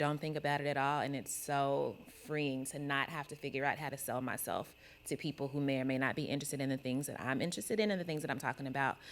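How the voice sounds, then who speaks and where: With a Kentucky accent, a woman talks at a fairly quick pace. Her pitch is very deep and low. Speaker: podcast co-host on a panel. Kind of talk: panel discussion. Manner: casual, filler-heavy.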